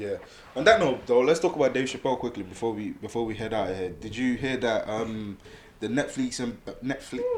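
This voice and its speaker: Over noticeable background noise, a man talks at a fairly quick pace. His pitch variation is ordinary. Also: medium pitch for a man. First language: not English. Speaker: podcast co-host. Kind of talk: casual chat.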